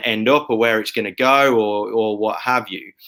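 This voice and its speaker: Here is an ordinary speaking voice from a man at medium pitch. He keeps a moderate pace and fairly even intonation. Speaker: podcast host. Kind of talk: interview host talk.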